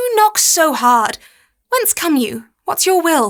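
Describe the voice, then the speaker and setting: A woman's squeaky, put-on character voice at an extremely high pitch, with very wide pitch swings and a fairly slow pace. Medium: audio drama. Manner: reasoning, admonishing, fatherly.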